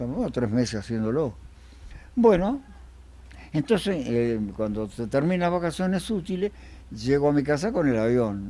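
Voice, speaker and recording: This man's tone is dark and mellow. His intonation is lively. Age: 80s+. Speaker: interviewee recalling childhood. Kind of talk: casual interview, reminiscing. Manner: halting.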